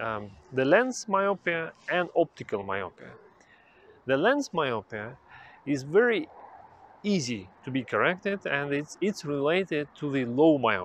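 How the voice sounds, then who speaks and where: With light background noise and a dry sound with no echo, a man talks at a fairly slow pace with very wide pitch swings. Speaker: vision health educator. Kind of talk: educational explainer to camera. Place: garden. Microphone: lapel.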